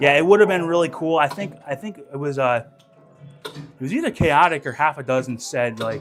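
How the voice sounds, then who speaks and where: Noticeable background noise sits behind a man speaking at a moderate pace with lively intonation. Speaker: pinball streamer and show host. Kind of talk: live stream gameplay commentary. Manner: casual, filler-heavy, repeats words.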